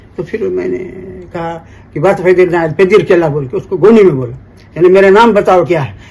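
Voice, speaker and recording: There is noticeable background noise behind a man with a high pitch. He talks at a moderate pace with ordinary pitch variation. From Bastar, Chhattisgarh (family from Aligarh). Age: 70s. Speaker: folk poet and lyricist. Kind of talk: interview, storytelling. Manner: halting, with repetitions.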